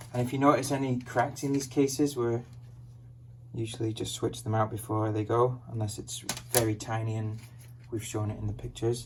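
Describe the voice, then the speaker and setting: A man talks fairly quickly at a medium pitch, his intonation flat and monotone. Noticeable background noise runs under his voice. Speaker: online reseller. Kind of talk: casual product showcase.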